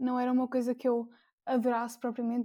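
A dark, mellow tone on a very clean recording with a silent background. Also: woman. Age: 20s. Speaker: university engineering student and book blogger. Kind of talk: casual chat.

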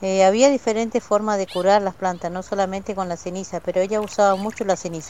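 Her medium-pitched voice has a dark, mellow tone as this woman talks at a very fast pace with fairly even intonation and hardly any pauses. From Argentina, Neuquén, Mapuche community of Ruca Choroi. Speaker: vegetable grower and Mapuche language teacher. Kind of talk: interview testimony. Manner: halting.

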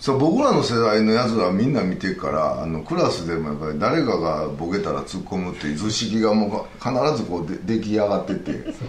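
A man talks at a fairly quick pace with hardly any pauses and very wide pitch swings. The room echo is audible and background noise is noticeable. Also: fairly low pitch for a man. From western Hyogo, Japan (near Himeji/Okayama). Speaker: anime sound effects designer. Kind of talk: casual chat.

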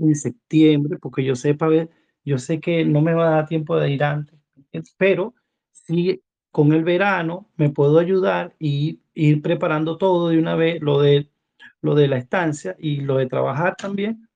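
A man's unremarkable speaking voice, fairly high in pitch with fairly even intonation. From Venezuela. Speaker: caller. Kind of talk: casual chat.

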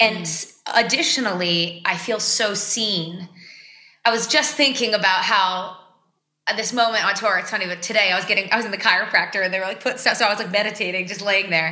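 With an American accent, a woman speaks at a fairly quick pace in a medium pitch with ordinary pitch variation, and the room echo is audible. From Boston, Massachusetts. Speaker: singer-songwriter. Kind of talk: casual interview chat.

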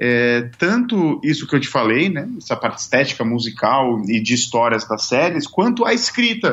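Fairly high pitch from a man, with very wide pitch swings at a moderate pace. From Brazil. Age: 30s. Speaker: singer and songwriter. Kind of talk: casual interview.

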